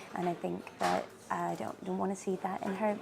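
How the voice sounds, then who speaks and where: Over noticeable background noise, a woman with a Scottish accent speaks at a moderate pace. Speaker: marketing company CEO. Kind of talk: interview answer.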